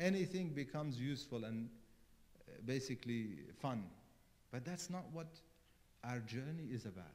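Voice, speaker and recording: At a moderate pace, a man with a non-native accent speaks at medium pitch with lively intonation and long, frequent pauses. Room echo is audible. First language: not English. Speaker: cleric. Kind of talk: sermon.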